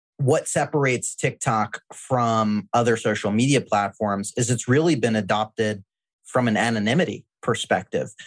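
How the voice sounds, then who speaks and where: In an ordinary speaking voice of medium pitch, a man talks at a moderate pace with ordinary pitch variation and very even loudness, the sound dry and close with no echo over a quiet background. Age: 30s. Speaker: marketing agency founder. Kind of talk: interview.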